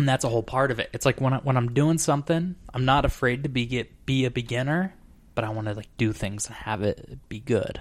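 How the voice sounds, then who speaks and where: A normal speaking voice with an American accent, fairly quick in pace, with ordinary pitch variation. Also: man, medium pitch for a man. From Arizona. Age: 20s. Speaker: podcast host. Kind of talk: casual chat.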